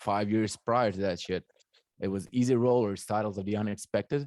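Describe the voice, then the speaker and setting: With fairly even intonation, a man's voice stays at a fairly low pitch. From Croatia, Zagreb. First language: Croatian. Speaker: DJ and music producer. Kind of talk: casual chat.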